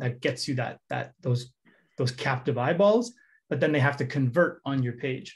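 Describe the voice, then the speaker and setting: Pitch varies in an ordinary way in this somewhat breathy voice. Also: man. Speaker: head of product giving a workshop. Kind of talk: interactive online workshop. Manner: fast.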